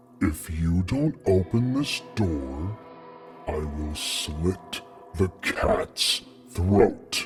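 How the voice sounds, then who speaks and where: Over clear background music, a man uses a put-on character voice, very deep and low, at a very slow pace. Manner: sinister, threatening.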